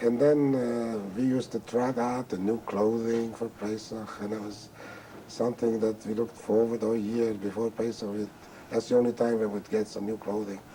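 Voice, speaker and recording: A medium-pitched man at a moderate pace, monotone and flat, over noticeable background noise. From Carpathian Ruthenia, Czechoslovakia. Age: 60s. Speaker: Holocaust survivor. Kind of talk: testimony. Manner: halting.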